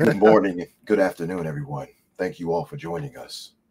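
A man puts on a raspy character voice with a very deep, low pitch and very wide pitch swings, speaking at a fairly quick pace. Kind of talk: formal, polished announcer.

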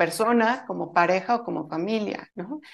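A woman speaks with a Mexican accent at a medium pitch. Her pitch varies in an ordinary way, and the background is quiet. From Mexico. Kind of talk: interview.

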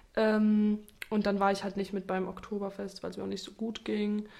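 Her voice sits at a medium pitch as the woman speaks at a moderate pace in a monotone, flat intonation. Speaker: podcast host. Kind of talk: casual chat. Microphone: new microphone setup.

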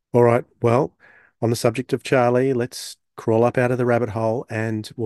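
In an Australian accent, a man speaks with monotone, flat intonation. The sound is dry and close with no echo over a quiet background. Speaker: podcast co-host. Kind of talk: casual chat.

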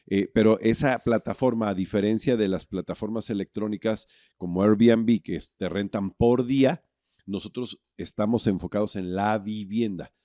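Speaking fairly slowly with fairly even intonation, a man has a dark, mellow tone, recorded dry and close with no echo. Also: fairly low pitch for a man, very clean recording, silent background. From Mexico. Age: 50s. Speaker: hotelier. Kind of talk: interview.

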